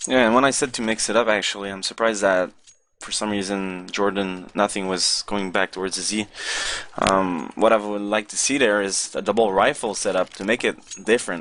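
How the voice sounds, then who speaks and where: Talking at a fairly quick clip with a French-Canadian accent, a man keeps his intonation fairly even and his pitch fairly low, with noticeable noise behind him. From Quebec. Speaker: esports analyst. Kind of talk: live commentary.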